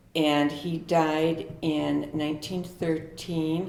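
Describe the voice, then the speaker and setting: A woman speaks in a very deep, low voice with an American accent. Her delivery is flat and monotone, with audible echo from the room. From US Midwest, Milwaukee's Bay View. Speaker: longtime local resident. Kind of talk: oral history interview. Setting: historic house, in person.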